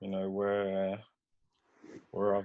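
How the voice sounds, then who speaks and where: A man's fairly low voice carries a British accent. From London, England (Hackney), then Peterborough. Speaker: footballer. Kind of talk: casual chat. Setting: recorded podcast conversation.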